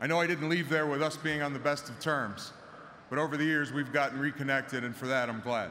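With light background noise behind him, a man speaks at a fairly quick pace with fairly even intonation. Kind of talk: ceremonial speech. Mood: grateful, measured. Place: stadium. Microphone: podium.

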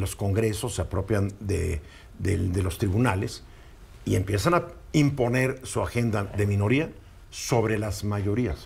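A man talks at a moderate pace in a somewhat breathy voice. His pitch is fairly low, with ordinary variation. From Mexico. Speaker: radio news commentator. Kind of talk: opinion talk on news radio. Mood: opinionated, ironic. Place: studio. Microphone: lapel.

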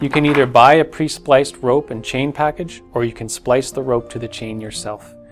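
There is faint music in the background as a man speaks at a moderate pace with ordinary pitch variation. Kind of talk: tutorial. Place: shop.

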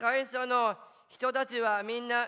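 A man's raised, projected voice, bright and sharp, at an extremely high pitch. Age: 20s. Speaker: office worker with Down syndrome. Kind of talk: prepared speech. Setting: stage with audience. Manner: halting.

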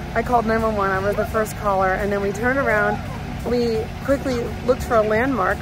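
Clear music plays in the background of this dry, echo-free recording, where the speech moves at a fairly quick pace with fairly even intonation. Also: woman. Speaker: family vlogger. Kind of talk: casual vlog chat. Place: street. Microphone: phone near.

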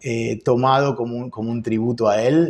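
The voice has a dark, mellow tone in a Rioplatense accent. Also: man. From Argentina, Buenos Aires. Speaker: jazz guitarist; interviewee. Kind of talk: interview. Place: office.

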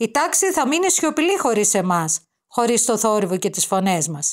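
Against a silent background in a very clean recording, a woman speaks fairly slowly in a gentle, warm tone, her fairly high pitch swinging very widely. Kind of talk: literary audiobook reading of a children's school story, read aloud. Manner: gentle, warm, wistful storytelling pace with soft emotion.

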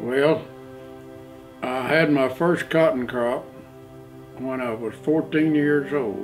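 A man with an American accent speaks at a very slow pace, leaving long, frequent pauses. His pitch varies in an ordinary way over faint background music. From Oklahoma. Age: 80s+. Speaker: farmer. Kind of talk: interview answer. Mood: calm storytelling. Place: home room.

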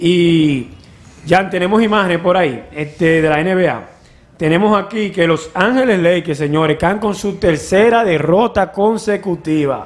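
Pitched high, a man speaks at a fairly slow pace with ordinary pitch variation. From Dominican Republic, Cibao; Dominican Republic. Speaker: sports show host, former athlete; sports show host. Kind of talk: sports news roundup. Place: studio. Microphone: studio mic.

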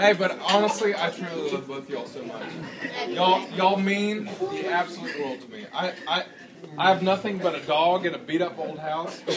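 A man talks at a moderate pace while noticeable background noise carries on. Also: ordinary pitch variation. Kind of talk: rehearsal dinner toast. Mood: warm, joking, emotional. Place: hall. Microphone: camera far.

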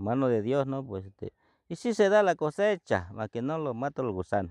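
With very wide pitch swings, a man's voice comes across dry with no echo against a quiet background. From Sierra Sur, Oaxaca, Mexico. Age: 60s. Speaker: farmer. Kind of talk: interview answer. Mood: calm, friendly.

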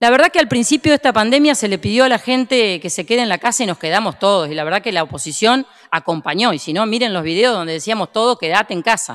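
Against a quiet background, a woman's fairly high voice races at a very fast pace with very wide pitch swings. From Argentina. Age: 50s. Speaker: provincial legislator. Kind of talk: parliamentary speech. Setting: legislative chamber session. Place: hall. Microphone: podium.

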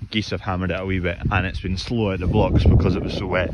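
A man is speaking. Loud background noise fills the dry recording, which has no echo. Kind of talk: casual vlog chat. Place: open country. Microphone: phone near.

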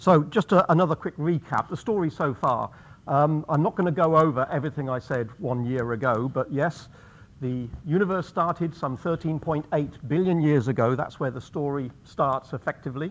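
Ordinary pitch variation and a moderate pace from a man. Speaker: guest lecturer. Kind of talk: lecture. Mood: light, gently humorous. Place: hall.

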